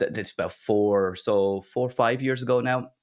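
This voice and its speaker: Speaking fairly slowly with an Irish accent, a man uses medium pitch and fairly even intonation on a very clean recording with a silent background. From Ireland. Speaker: tech community founder. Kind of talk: interview.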